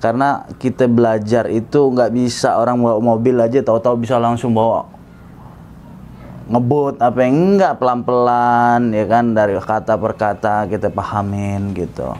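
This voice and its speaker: A man at medium pitch, moderate pace and ordinary pitch variation. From Jakarta, Indonesia (Batak family). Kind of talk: interview testimony.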